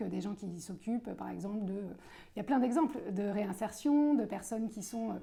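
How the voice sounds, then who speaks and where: Her voice is somewhat breathy with a dark, mellow tone, as a woman speaks at a fairly quick pace with a fairly high pitch and ordinary pitch variation. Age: 40s. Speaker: political candidate. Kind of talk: interview. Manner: hesitant, many filler sounds.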